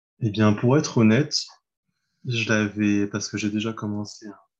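A man speaks with a fairly low pitch and monotone, flat intonation. The background is quiet. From France, Mayenne. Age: 30s. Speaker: translator. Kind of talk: casual interview. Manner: halting.

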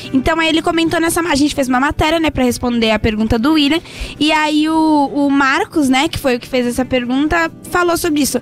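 A woman speaks at a fairly quick pace with a high pitch and ordinary pitch variation. Her loudness stays very even, with noticeable background noise behind her. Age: 20s. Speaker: co-host of a trucking and logistics web show. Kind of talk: casual chat.

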